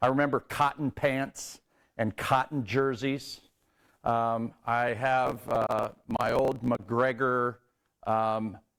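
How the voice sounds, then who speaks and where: A man with a Midwestern American accent talks at a very slow pace, with fairly even intonation and very even loudness. The recording is very clean, with a silent background. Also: medium pitch for a man. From northern Indiana, US Midwest. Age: 60s. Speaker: athletic trainer. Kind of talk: conference talk. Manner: halting, many fillers.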